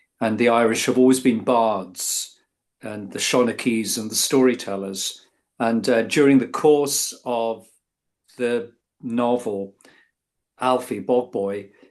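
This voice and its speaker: Speaking very slowly with long, frequent pauses, a man with an English accent keeps a medium pitch and fairly even intonation. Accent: sounds very English. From England. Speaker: author. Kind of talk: interview. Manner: halting, many fillers.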